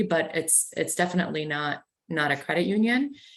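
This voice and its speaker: A woman with a slight Canadian accent talks at a fairly low pitch. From Canada. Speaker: credit union executive. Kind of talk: panel discussion.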